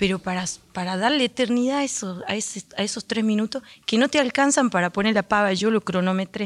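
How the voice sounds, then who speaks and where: A woman talks fairly quickly in a normal speaking voice, her pitch fairly high with ordinary variation. The sound is dry and close, with no echo. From Argentina, Andalgalá, Catamarca. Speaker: folk singer. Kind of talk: radio interview. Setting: radio studio auditorium.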